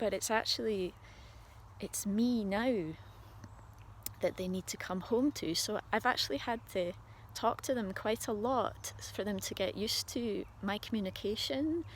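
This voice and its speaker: A woman with a Scottish accent talks at a fairly slow pace, her voice somewhat breathy and medium in pitch. She leaves long, frequent pauses. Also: ordinary pitch variation. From Scotland. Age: 40s. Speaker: spiritual video diarist. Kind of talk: personal video diary monologue. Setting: outdoors on a walk. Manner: halting.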